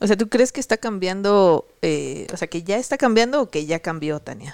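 Lively intonation comes through on a very clean recording with a silent background and a dry, close sound with no echo. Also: woman. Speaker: podcast co-host and programming instructor. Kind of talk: casual chat.

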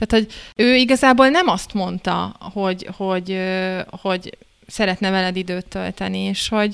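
A plain, everyday voice from a woman, medium in pitch, with fairly even intonation and a moderate pace, on a very clean recording with a silent background. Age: 30s. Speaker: couples therapist. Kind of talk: casual panel discussion.

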